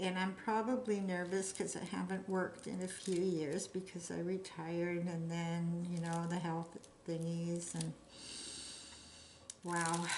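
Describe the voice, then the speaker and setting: Audible room echo surrounds a woman who speaks at a fairly slow pace, fairly low in pitch, with monotone, flat intonation. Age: 60s. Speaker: hobby crafter vlogger. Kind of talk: casual chat while crafting. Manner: chatty, meandering.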